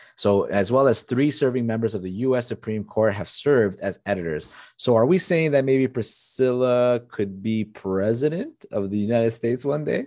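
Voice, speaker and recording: A man's normal speaking voice at medium pitch, with ordinary pitch variation, a moderate pace and hardly any pauses, over a quiet background. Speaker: podcast co-host. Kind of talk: casual chat.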